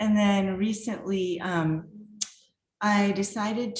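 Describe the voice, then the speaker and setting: Audible room echo around a woman's medium-pitched voice with fairly even intonation. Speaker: artist and art professor. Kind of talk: virtual artist talk.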